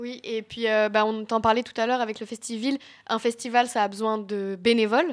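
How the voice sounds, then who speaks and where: On a very clean recording with a silent background, a woman talks at a fairly quick pace in a monotone, flat intonation. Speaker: radio columnist. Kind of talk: radio chronicle.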